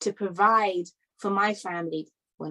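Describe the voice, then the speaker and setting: In a British accent, a woman with a medium pitch and a bright, sharp tone speaks with ordinary pitch variation. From London, England. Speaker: conference speaker. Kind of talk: talk. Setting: virtual summit.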